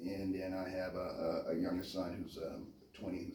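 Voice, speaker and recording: Audible room echo surrounds a voice moving at a fairly quick pace. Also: man. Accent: American. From US, Memphis Tennessee and California. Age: 50s. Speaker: interviewee, chef and Marine veteran. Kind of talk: interview, casual conversation. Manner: quiet, reserved.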